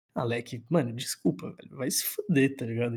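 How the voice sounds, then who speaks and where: A somewhat breathy voice with a dark, mellow tone moves at a moderate pace with lively intonation. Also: man. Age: 20s. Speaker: university student podcast co-host. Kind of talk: casual chat.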